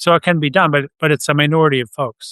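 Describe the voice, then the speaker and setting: A man with an American accent speaks in a bright, sharp tone, the sound dry and close with no echo against a quiet background. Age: 70s. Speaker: defense policy researcher. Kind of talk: interview.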